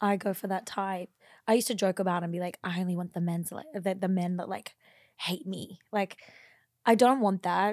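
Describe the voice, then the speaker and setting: A woman with fairly even intonation talks at medium pitch and a moderate pace. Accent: Australian. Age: 20s. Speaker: former midwife, social media creator. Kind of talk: casual chat.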